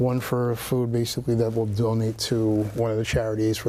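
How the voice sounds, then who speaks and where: Over noticeable background noise, a man with a New York accent talks at medium pitch with fairly even intonation. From New York City, Brooklyn. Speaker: real estate agent. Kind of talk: casual interview. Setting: studio. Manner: fast.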